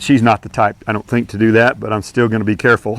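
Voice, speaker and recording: A man talks at a fairly quick pace in an unremarkable speaking voice. His medium pitch comes through in a dry, close sound with no echo. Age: 60s. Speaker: horse trainer. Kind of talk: tutorial. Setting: outdoors. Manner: casual.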